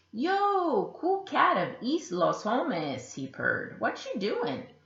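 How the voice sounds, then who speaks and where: A put-on character voice with a high pitch comes at a fairly slow pace with a slight echo. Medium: read story. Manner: purring.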